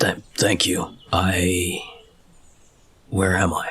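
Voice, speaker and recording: Put-on character voice of a man, raspy and very deep, with monotone, flat intonation. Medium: actual play.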